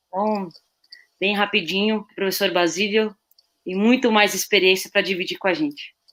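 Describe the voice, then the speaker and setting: A woman at a medium pitch speaks at a moderate pace, her intonation fairly even, with long pauses coming often. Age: 30s. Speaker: assistant football coach, former player. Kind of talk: live webinar panel discussion.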